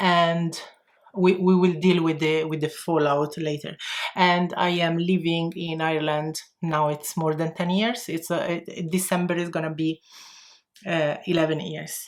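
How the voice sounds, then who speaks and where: In an Italian accent, a woman speaks at a fairly slow pace with monotone, flat intonation. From Italy. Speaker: makeup vlogger. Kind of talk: tutorial. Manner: halting.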